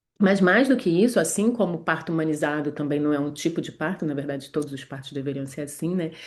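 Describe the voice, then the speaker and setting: A woman with a Rio de Janeiro accent, very deep and low in pitch, at a fairly quick pace. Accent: Carioca Brazilian Portuguese. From Rio de Janeiro, Brazil. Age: 40s. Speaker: gynecologist. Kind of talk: online class. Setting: livestream from her medical office. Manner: hesitant, many fillers.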